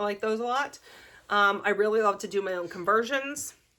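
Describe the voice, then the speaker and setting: A woman with a Pittsburgh accent speaks in a bright, sharp tone at medium pitch on a very clean recording with a silent background. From US, Pittsburgh. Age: 40s. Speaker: crafting vlogger. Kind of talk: casual vlog talk. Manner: hesitant, many fillers.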